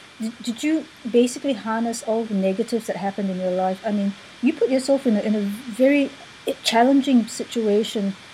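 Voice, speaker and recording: Against noticeable background noise, a woman talks at a fairly quick pace in a fairly high voice with ordinary pitch variation. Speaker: interviewer host of coaching show. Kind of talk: interview, energetic intro. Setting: live video/online broadcast.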